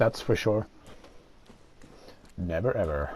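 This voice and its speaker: Lively intonation from a man, somewhat breathy, his tone dark and mellow. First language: not English. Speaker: gaming YouTuber. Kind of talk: let's play gameplay commentary. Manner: hesitant, many filler uhs.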